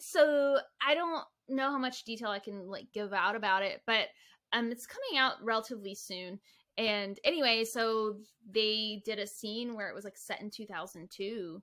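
Animated and bright with a sharp tone, a woman talks at a moderate pace and a fairly high pitch, with ordinary pitch variation and big swings in loudness. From small town, conservative home. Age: 30s. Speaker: content creator. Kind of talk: casual chat. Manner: animated, frequent laughter.

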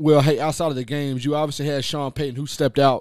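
In an animated tone, a man talks at a very fast pace. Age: 30s. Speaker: sports radio co-host. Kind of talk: casual sports talk. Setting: radio studio.

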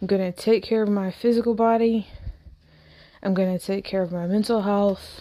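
The tone is dark and mellow, with monotone, flat intonation. Long pauses come often. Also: woman, medium pitch for a woman, moderate pace. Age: 40s. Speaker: podcaster. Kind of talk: casual solo monologue. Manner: rambling, hesitant with fillers.

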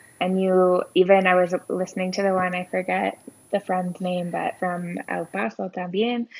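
A woman speaks at a moderate pace with a medium pitch. Her intonation stays monotone and flat. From southwestern Ontario, Canada. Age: 30s. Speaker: guest living abroad. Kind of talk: casual interview chat.

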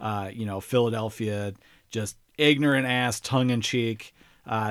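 A man with an ordinary speaking voice keeps a fairly even intonation at a medium pitch. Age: 30s. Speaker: podcast host, guest. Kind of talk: casual chat.

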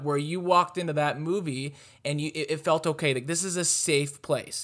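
The speaker is a man. His pitch is fairly high. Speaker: podcast host. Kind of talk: casual chat. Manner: loud.

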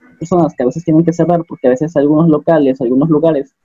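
A man's fairly high-pitched voice, very fast and monotone with flat intonation, over music in the background. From Mexico, Acapulco (Guerrero). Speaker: biomedical engineering student, podcast co-host. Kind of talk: casual group discussion.

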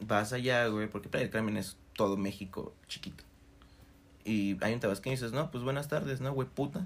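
Moderate speed and ordinary pitch movement in a man's medium-pitched voice. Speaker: podcast co-host. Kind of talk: casual chat. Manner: animated.

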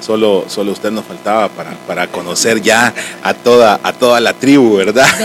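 Over noticeable background noise, a man with a Salvadoran accent talks at a moderate pace with fairly even intonation. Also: medium pitch for a man. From El Salvador. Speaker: podcast host, church member. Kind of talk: casual interview chat.

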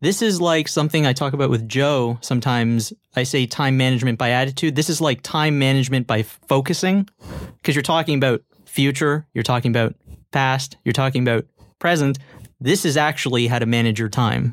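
A man has an unremarkable speaking voice at a medium pitch with ordinary pitch variation. He talks at a fairly quick pace with very even loudness. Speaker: business associate. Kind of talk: casual chat.

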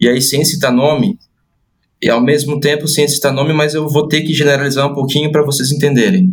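Moderately paced male speech, somewhat breathy and fairly high in pitch. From Brazil, Santa Catarina. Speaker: podcast host and football coach. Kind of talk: podcast interview. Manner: hesitant, repeats words.

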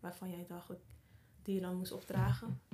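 Somewhat breathy, a woman speaks at medium pitch. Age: 30s. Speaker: podcast host. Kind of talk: casual interview chat; promotional outro.

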